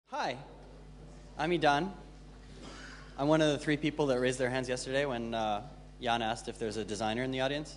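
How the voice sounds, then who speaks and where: In audible room echo, a man of medium pitch speaks very fast with ordinary pitch variation and long, frequent pauses. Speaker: conference speaker, designer and developer. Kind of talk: conference talk. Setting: stage with audience. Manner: hesitant, many fillers.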